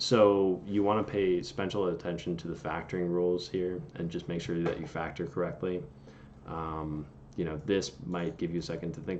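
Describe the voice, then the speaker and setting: Audible room echo surrounds a man's very deep, low voice as he talks at a moderate pace with ordinary pitch variation. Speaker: engineering tutor on video channel. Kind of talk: tutorial.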